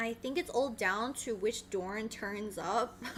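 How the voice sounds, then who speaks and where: An animated woman's raised, projected voice over noticeable background noise. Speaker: esports streamer. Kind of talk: casual live stream chat. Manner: loud.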